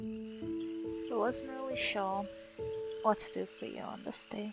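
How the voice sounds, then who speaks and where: A woman speaks at a very slow pace with very wide pitch swings, music playing in the background. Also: medium pitch for a woman. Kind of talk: love letter read aloud to husband. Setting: home recording, poor audio. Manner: whispered.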